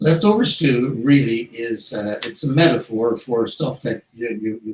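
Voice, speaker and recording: The voice belongs to a man and sounds somewhat breathy. His intonation is lively. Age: 80s+. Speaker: author. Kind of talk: reading aloud; casual interview. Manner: halting.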